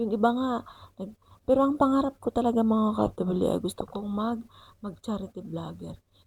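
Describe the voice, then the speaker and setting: A soft-spoken woman talks at a moderate pace. Her voice is somewhat breathy, with ordinary pitch variation. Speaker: vlogger. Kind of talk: vlog voice-over. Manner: halting.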